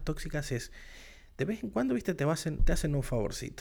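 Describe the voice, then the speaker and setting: With an Argentine accent, a man with a fairly high pitch and vocal fry speaks in an animated tone at a moderate pace on a very clean recording with a silent background. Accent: Argentine Spanish (Rioplatense), voseo. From Argentina. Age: 30s. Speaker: podcast host. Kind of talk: solo monologue podcast.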